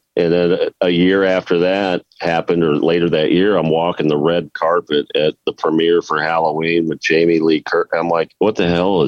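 A man with a very deep, low pitch speaks at a moderate pace with hardly any pauses, very even loudness and monotone, flat intonation. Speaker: singer. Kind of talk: casual interview chat.

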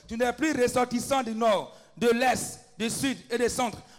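Over music in the background, a man speaks at an extremely high pitch with fairly even intonation. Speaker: preacher and intercessor. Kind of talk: fervent intercessory prayer and preaching. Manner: exhorting, rising intensity.

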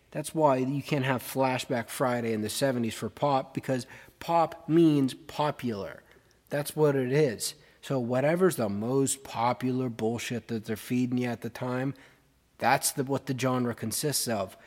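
In a plain, everyday voice, a man talks at a fairly slow pace with fairly even intonation, the recording very clean with a silent background. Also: medium pitch for a man. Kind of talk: radio DJ patter between songs, opinionated rant.

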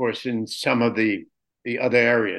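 At a fairly slow pace, a man speaks in a plain, everyday voice at medium pitch. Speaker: radio host and professor. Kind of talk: casual interview.

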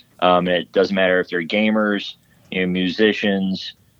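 In a Texan accent, the speaker talks with a flat, monotone intonation. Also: man. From West Texas (Odessa). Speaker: Navy veteran and film production company founder. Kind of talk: interview.

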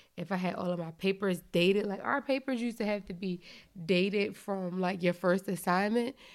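On a very clean recording with a silent background, a woman with an ordinary speaking voice talks at a fairly quick pace, at a medium pitch and with fairly even intonation. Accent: American. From Philadelphia. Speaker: podcast co-host, parent. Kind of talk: casual chat.

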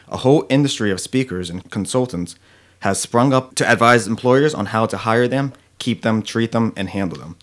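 A plain, everyday voice of a man at medium pitch, ordinary pitch variation, moderate pace. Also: very clean recording, silent background. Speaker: podcast co-host. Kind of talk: reading aloud.

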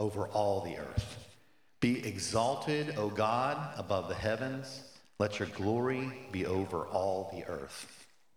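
Speaking fairly slowly, a man with an ordinary speaking voice stays at medium pitch with ordinary pitch variation. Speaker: church member. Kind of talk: prayer reading. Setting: church.

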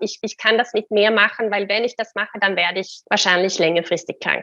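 Here a woman is talking. Her voice sits fairly high. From Sweden. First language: Swedish (speaking German). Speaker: career coach. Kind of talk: interview. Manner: halting.

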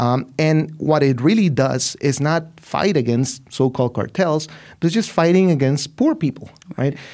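With a Spanish accent, a man speaks at a fairly high pitch. His loudness stays very even. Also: ordinary pitch variation, moderate pace. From Mexico, Ciudad Juarez. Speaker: literature professor and author. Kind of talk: interview.

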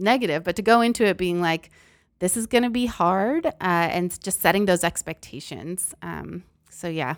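A woman with an American accent and a plain, everyday voice speaks at a moderate pace in a very clean recording with a silent background. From Massachusetts, US. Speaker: career counselor. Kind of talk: casual interview.

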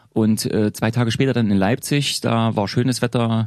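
A plain, everyday voice from a man, fairly low in pitch with fairly even intonation, against a quiet background. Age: 40s. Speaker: author and historian. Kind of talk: casual interview. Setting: studio.

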